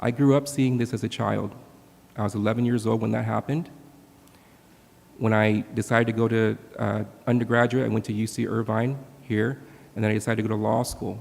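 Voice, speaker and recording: With an American accent and vocal fry, a man at medium pitch speaks at a fairly quick pace in a monotone, flat intonation broken by long, frequent pauses. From Southern California (Orange County). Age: 40s. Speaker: political candidate, attorney. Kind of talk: candidate forum speech. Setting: auditorium with audience.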